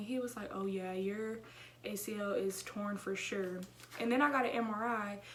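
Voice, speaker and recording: A woman with an American accent talks at a medium pitch, with audible room echo around her. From Houston, Texas. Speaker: YouTuber. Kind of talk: casual vlog chat. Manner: fast; animated.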